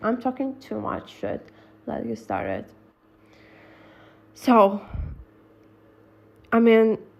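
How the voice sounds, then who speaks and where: A woman talks with a non-native accent. Her voice is somewhat breathy, with a fairly high pitch. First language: not English. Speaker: gossip vlogger. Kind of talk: casual storytelling monologue. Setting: voice-over on a slide presentation, face not shown.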